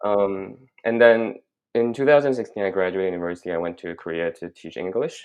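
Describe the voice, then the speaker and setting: Speaking in a Chinese accent, a man keeps to a moderate speed. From China, moved to Canada at 16. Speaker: graduate student. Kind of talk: casual interview chat. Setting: podcast recording. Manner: halting, many fillers.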